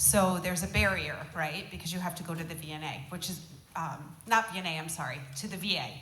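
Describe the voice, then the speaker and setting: Noticeable background noise and audible room echo surround a woman at a fairly low pitch. She talks at a fairly quick pace with ordinary pitch variation. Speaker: agency on aging head, panelist. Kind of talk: town hall panel answer. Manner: soft-spoken.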